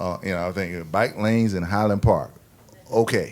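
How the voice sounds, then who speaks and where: A man with an American accent talks with ordinary pitch variation on a very clean recording with a silent background. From US South. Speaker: city official. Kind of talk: panel discussion. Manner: halting.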